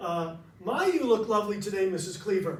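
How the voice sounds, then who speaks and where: In an American accent with ordinary pitch variation, the voice carries audible room echo. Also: man. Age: 60s. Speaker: nonprofit founder and motivational speaker. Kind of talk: speech to a club audience.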